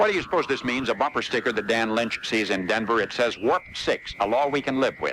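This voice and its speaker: There is noticeable background noise as this man, medium in pitch, delivers his words fairly quickly and with lively intonation. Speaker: radio newscaster. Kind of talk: radio news and commentary. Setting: AM radio broadcast off cassette.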